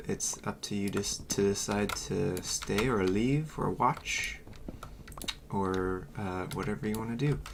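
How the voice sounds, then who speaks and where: Noticeable noise sits in the background. The pace is fairly slow. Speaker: gaming streamer. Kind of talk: casual livestream chat. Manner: loud; hesitant, many fillers.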